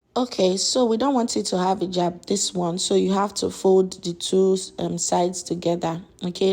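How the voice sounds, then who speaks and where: A woman's medium-pitched voice with a dark, mellow tone at a moderate pace. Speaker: sewing tutor. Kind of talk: tutorial.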